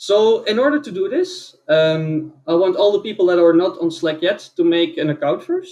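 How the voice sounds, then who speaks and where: Speaking in a Dutch accent, a man with a high pitch talks at a fairly slow pace using lively intonation. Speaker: conference speaker. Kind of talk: conference talk. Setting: online event.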